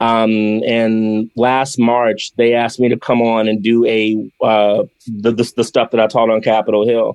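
A man speaks at a fairly slow pace and medium pitch, with very even loudness. The sound is dry and close, with no echo. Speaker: yoga teacher and activist. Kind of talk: interview. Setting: video call. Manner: animated.

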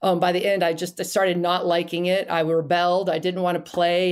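A woman's fairly low voice with an animated tone, on a very clean recording with a silent background. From US South, Florida (Miami area). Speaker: sports mom and former soccer player. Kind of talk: casual interview. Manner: animated, laughs often.

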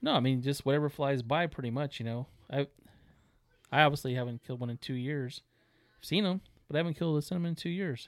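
Speaking at a very fast pace, a man with a fairly high pitch and ordinary pitch variation still leaves long, frequent pauses. The sound is dry and close, with no echo. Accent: American. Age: 40s. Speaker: taxidermist, duck hunter. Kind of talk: casual chat.

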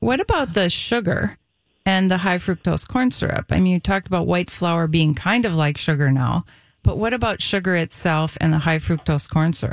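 A plain, everyday voice from a woman, fairly low in pitch, with lively intonation at a moderate pace and a dry, close sound with no echo. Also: very even loudness. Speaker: nutritionist radio co-host. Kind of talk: radio talk show.

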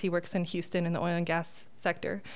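This woman talks at a very fast pace with a medium pitch and an American accent. The recording is very clean, with a silent background. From Phoenix, Arizona. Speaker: painting business owner. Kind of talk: podcast interview. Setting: conference studio room.

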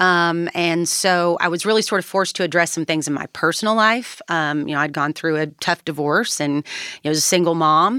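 With a Kentucky accent, a woman talks fairly quickly in a bright, sharp tone at a fairly low pitch with ordinary variation. The recording is very clean, with a silent background. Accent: Southern US (Kentucky). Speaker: political advocate for criminal justice reform. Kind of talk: interview.

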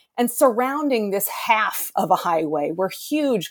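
A woman with an American accent speaks at a fairly slow pace, her pitch swinging very widely. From Boston, US. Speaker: architectural historian. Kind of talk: interview.

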